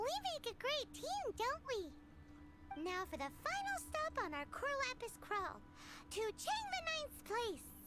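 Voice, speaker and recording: The speaker uses a put-on character voice, squeaky and extremely high in pitch. It moves at a fairly slow pace against loud background noise. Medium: video game. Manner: perky, refers to self in third person.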